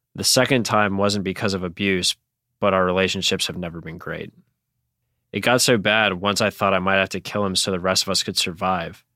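Very deep and low in pitch yet bright and sharp in tone, a man with a Northeastern US accent speaks in a monotone, flat way at a fairly quick pace, in a very clean recording with a silent background. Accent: American Northeast. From New York State, US. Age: 20s. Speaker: listener. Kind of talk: voice message.

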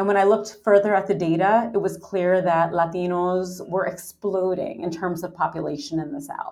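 A woman's plain, everyday voice at a medium pitch, with ordinary pitch variation and a fairly quick pace. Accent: American. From New York City. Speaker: anthropology professor. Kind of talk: interview.

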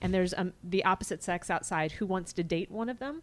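With an American accent, a woman speaks fairly quickly at a medium pitch with ordinary pitch variation, a normal speaking voice against a quiet background. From US Midwest. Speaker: actress and writer. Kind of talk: casual chat.

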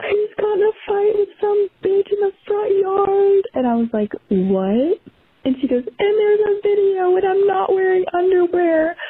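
A woman speaks with an extremely high pitch. Her loudness stays very even. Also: ordinary pitch variation, fairly slow pace. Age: 20s. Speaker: voicemail caller. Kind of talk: storytelling. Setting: voicemail recording.

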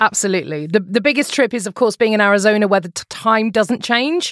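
In a British accent, a woman with a fairly high pitch speaks at a fairly quick pace with lively intonation and hardly any pauses, the sound dry and close with no echo. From England. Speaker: podcast host and former journalist. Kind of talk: casual interview chat.

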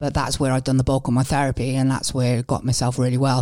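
A woman's very deep, low voice with a Welsh accent, dark and mellow in tone, at a very fast pace, in a very clean recording with a silent background. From Wales. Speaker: former mental health patient. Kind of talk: interview.

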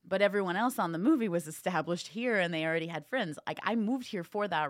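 A woman with an American accent and a plain, everyday voice speaks fairly quickly at medium pitch with lively intonation, on a very clean recording with a silent background. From US Midwest, northern Indiana. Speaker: actor and ventriloquist. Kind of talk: casual interview chat.

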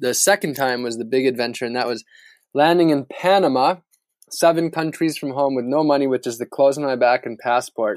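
A man with a plain, everyday voice talks at a fairly quick pace and medium pitch with ordinary pitch variation, in a dry, close sound with no echo. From US Midwest, northern Wisconsin. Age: 30s. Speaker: sustainability activist and adventurer. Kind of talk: interview.

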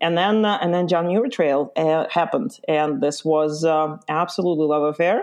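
With an Eastern European accent, a woman at a fairly low pitch speaks at a moderate pace with hardly any pauses, ordinary pitch variation and very even loudness. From Lithuania (born in Ukraine). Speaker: backpacking guide and trip planning business owner. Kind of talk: interview. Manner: hesitant, many fillers.

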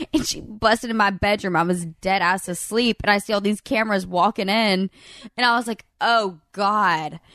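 A woman with a Southern US accent, medium pitch, ordinary pitch variation and a moderate pace, in a bright, sharp tone, with a dry, close sound with no echo and a quiet background. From Alabama, Birmingham. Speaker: reality TV alum. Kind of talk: casual chat. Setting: in person at a lake house.

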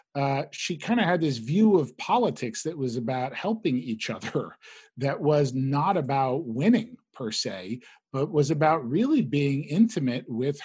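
A fairly high-pitched, somewhat breathy man speaks at a fairly slow pace with lively intonation, in a very clean recording with a silent background. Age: 40s. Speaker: digital political strategist. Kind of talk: casual chat.

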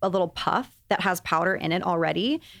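This woman has a plain, everyday voice with an American accent. Her pitch varies in an ordinary way. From Texas. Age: 30s. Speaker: beauty podcast host. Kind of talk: casual chat.

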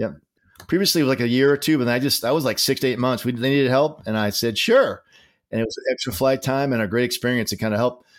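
Very fast speech in a Boston accent with ordinary pitch variation, in a very clean recording with a silent background. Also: man, medium pitch for a man. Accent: Boston New England. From Massachusetts, near Boston. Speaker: retired Navy captain. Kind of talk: casual interview.

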